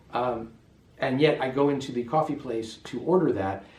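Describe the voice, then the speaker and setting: The speaker has an American accent and a somewhat breathy voice, with ordinary pitch variation at a moderate pace. Audible room echo surrounds the voice. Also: man. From US West, Las Vegas. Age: 50s. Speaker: expat interviewee. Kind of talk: interview. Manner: hesitant, many fillers.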